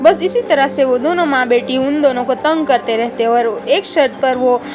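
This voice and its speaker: Music plays in the background as a woman speaks in a high voice. Her pace is moderate and her pitch variation ordinary. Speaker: voice actor. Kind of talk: children's story narration. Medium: cartoon.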